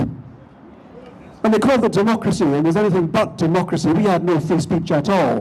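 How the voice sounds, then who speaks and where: A man with lively intonation, amid noticeable background noise. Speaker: politician speaking at a rally. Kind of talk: rally speech. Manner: animated.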